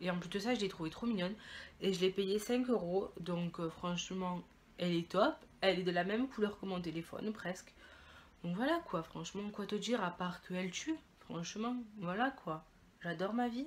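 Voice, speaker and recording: A normal speaking voice from a woman at medium pitch and a moderate pace, ordinary pitch variation and big swings in loudness. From Italy. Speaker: beauty and fashion vlogger. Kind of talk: haul video, casual chat to camera. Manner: casual, chatty with many fillers.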